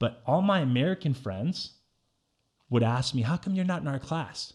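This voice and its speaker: A man with a fairly high pitch and a somewhat breathy voice speaks at a moderate pace, his tone animated and his intonation lively. The recording is very clean, with a silent background. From Bosnia, raised in San Jose from age ten. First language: Bosnian. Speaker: guest telling life story. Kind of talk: casual interview storytelling. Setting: studio. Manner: animated, with many repetitions and fillers.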